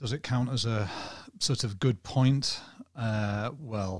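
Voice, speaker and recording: The man's voice sits at a medium pitch. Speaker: podcast guest, football journalist. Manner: monotone.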